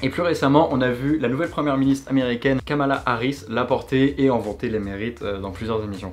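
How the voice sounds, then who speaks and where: Pitched in the medium range, a man's voice rushes along at a very fast pace. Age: 20s. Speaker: YouTuber. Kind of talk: casual video monologue.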